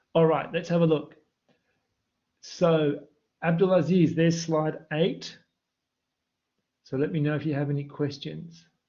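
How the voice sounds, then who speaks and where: A man speaks at a fairly slow pace in a fairly high pitch, with long, frequent pauses. Room echo is audible. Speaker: university maths lecturer. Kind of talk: online live lecture with chat Q&A. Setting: livestream with online chat. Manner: excited, animated.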